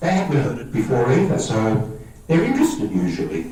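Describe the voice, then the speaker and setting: There is noticeable background noise and audible room echo as a man with an Australian accent talks at a fairly quick pace. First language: Greek. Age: 50s. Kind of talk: talk to a parish audience.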